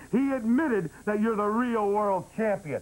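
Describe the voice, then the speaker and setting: A man with a high pitch, at a fairly quick pace. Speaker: talk show host. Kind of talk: comedic talk show banter on the phone. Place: studio.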